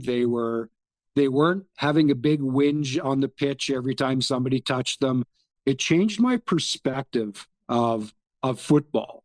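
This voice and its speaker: A man with a normal speaking voice talks at a moderate pace in a fairly high pitch, with ordinary pitch variation and a dry, close sound with no echo. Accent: Canadian. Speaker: football fan. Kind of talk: casual chat.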